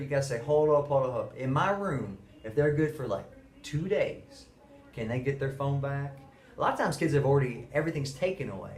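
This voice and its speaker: A man speaks at a fairly quick pace in a fairly high pitch with ordinary variation. Room echo is audible. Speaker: middle school teacher. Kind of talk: monologue to camera. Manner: fast.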